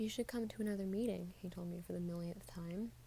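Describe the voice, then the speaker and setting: A soft-spoken woman in a calm tone at a moderate pace. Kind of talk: soft-spoken book reading / ASMR-style. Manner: soft-spoken, calm.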